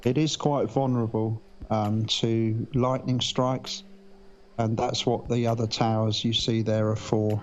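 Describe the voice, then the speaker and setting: With a British accent, the speaker delivers monotone, flat intonation at a fairly slow pace and very even loudness. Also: man, medium pitch for a man. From UK. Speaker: live stream launch commentator. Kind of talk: live commentary. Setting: live stream, remote commentary. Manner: hesitant, many fillers.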